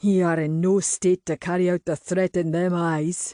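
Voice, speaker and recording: Putting on a character voice in a Scottish accent, a man speaks high and monotone, with flat intonation, in a dry, close sound with no echo and a quiet background. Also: moderate pace. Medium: read story. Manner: jovial, teasing.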